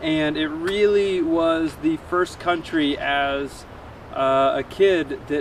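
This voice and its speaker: A speaker with an American accent talks at a very slow pace. Noticeable background noise runs underneath. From US. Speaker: cycling and paddling traveler, vlogger. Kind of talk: travel vlog to camera.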